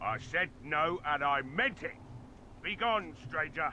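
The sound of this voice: A man performs a put-on character voice with a bright, sharp tone, fairly high pitch, lively intonation, and a slow pace.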